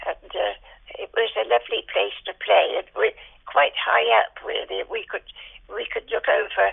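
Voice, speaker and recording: A woman talks at a fairly slow pace. She speaks in a West Country accent. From Dorset, south-west England (Dorchester). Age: 90s. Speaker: elderly interviewee sharing memories. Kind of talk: oral history interview. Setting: phone call. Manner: halting, many fillers.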